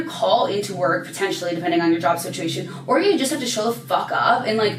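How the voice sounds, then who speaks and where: An animated woman with an American accent at a fairly quick pace, her pitch swinging very widely, amid noticeable background noise and audible room echo. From Chicago, US Midwest. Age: 20s. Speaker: YouTuber. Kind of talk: casual chat. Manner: fast.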